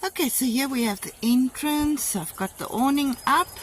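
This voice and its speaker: Against noticeable background noise, a woman speaks at a very slow pace with a high pitch. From South Africa. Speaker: vlogger. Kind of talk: video tour. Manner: casual with fillers.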